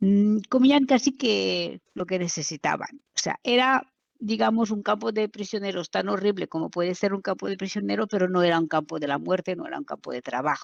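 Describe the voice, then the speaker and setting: With hardly any pauses, a woman talks at a moderate pace and medium pitch, her voice making very wide pitch swings in a dry, close sound with no echo. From France, Normandy. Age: 60s. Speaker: daughter of a concentration camp survivor. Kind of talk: testimony interview. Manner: hesitant, many fillers.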